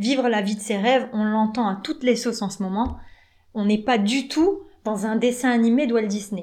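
A woman with a normal speaking voice talks at a moderate pace with ordinary pitch variation, in a very clean recording with a silent background. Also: fairly high pitch for a woman. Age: 30s. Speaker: relationship coach. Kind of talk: podcast monologue.

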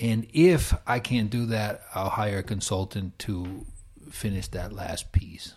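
The recording is very clean, with a silent background. A man with an American accent speaks very slowly in a somewhat breathy, fairly low voice with ordinary pitch variation. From New York, US. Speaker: startup founder and consultant. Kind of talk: interview.

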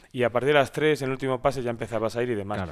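This very clean recording, with a silent background, features a man at medium pitch with ordinary pitch variation. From Spain, Valladolid (Castilla y León). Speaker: local politician, deputy mayor. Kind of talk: interview.

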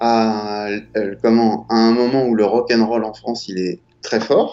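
This is a man's voice. His delivery is very slow. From Paris. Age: 40s. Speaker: film director and former graffiti artist. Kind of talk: casual interview.

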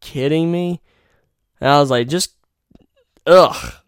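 In a very clean recording with a silent background, a man speaks in an animated tone with an eastern North Carolina accent. His voice is fairly high, his pace moderate and his pitch variation ordinary. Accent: US Southern (eastern North Carolina). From North Carolina (Rocky Mount). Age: 20s. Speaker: podcast host. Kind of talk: casual monologue.

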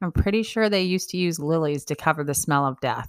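On a very clean recording with a silent background, a woman uses an upbeat, playful tone and lively intonation. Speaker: blogger reading own blog entry. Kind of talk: reading aloud a mock-serious written eulogy and funeral wishes, tongue-in-cheek. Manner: wry, playful and cheeky, with laughter, emphatic list-like delivery; candid and upbeat, breezy asides addressing the listener directly.

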